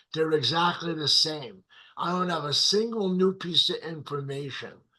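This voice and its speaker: A man speaks in an animated tone with a bright, sharp edge. His pitch sits high. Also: ordinary pitch variation, moderate pace. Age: 70s. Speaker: motivational speaker and life coach. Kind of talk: interview conversation.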